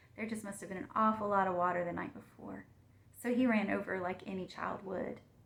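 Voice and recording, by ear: The speaker reads text aloud. It comes out in a natural voice.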